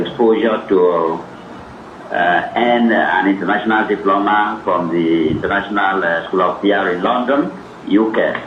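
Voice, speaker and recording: Pitch varies in an ordinary way over noticeable background noise, and the room echo is audible. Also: man. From Nigeria, Cross River. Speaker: author and academic. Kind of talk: interview at a book event.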